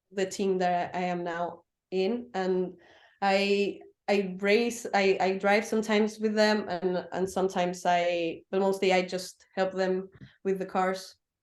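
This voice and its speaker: With a Spanish accent, a woman at a medium pitch speaks at a fairly slow pace. Her intonation is monotone and flat against a quiet background. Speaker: racing driver and motorsport technician. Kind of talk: interview. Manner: halting, many fillers.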